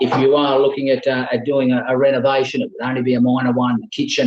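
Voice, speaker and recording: A man with an Australian accent speaks at a fairly quick pace in a medium-pitched voice. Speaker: auctioneer. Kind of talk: online property auction address. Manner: fluent, conversational with frequent filler pauses.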